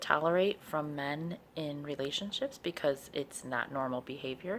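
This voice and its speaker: A woman speaks at a fairly slow pace in a very deep, low voice. Her pitch varies in an ordinary way. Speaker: video blogger giving relationship advice. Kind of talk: casual talk to camera. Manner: halting, many fillers.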